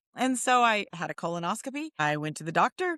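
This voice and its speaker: A woman talks at a fairly quick pace in a fairly high pitch with a bright, sharp tone. The sound is dry and close with no echo, over a quiet background. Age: 60s. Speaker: nonprofit executive. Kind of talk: interview. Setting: podcast.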